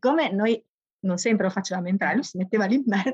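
Somewhat breathy, a woman speaks at medium pitch with ordinary pitch variation, in a dry, close sound with no echo. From Bologna area, Italy (grew up in a village near Bologna, time in Livorno). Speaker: primary school teacher. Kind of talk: interview storytelling. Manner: animated.

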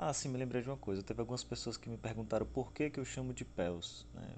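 A man's voice with very wide pitch swings. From Northeast Brazil, Aracaju, Sergipe. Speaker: psychologist and podcast host. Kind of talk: educational podcast talk on a book chapter. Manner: hesitant, frequent fillers.

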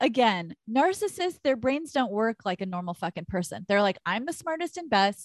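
In a very clean recording with a silent background and a dry, close sound with no echo, a woman with an American accent talks loud and animated at a moderate pace, fairly high in pitch with very wide pitch swings and hardly any pauses. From Texas. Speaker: podcast co-host, astrology. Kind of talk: casual chat. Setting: recording over internet in separate rooms of a house. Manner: animated, loud.

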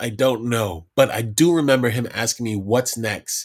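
On a very clean recording with a silent background, a normal speaking voice with an American accent moves at a moderate pace with ordinary pitch variation. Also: man. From Brooklyn, New York. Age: 40s. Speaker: hip-hop artist. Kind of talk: casual interview.

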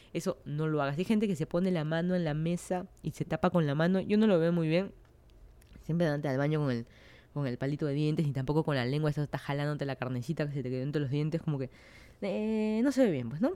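The voice has a dark, mellow tone and a Peruvian accent, moving at a very fast pace with ordinary pitch variation. The recording is very clean with a silent background. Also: woman, very deep, low pitch for a woman. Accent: Peruvian Spanish (Lima). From Peru, Lima. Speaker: podcast host. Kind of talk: casual monologue.

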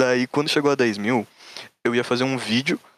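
With fairly even intonation, a man speaks at medium pitch in a dry, close sound with no echo. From Santa Catarina, southern Brazil. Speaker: programmer, site developer. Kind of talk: casual chat.

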